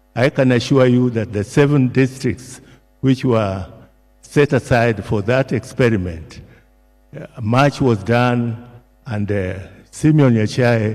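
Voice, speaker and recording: Very slow speech from a man, with long, frequent pauses, ordinary pitch variation and music in the background. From Kenya. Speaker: retired civil servant. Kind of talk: eulogy. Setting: church memorial service. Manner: formal, hesitant with fillers. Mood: solemn, respectful. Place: hall. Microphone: podium.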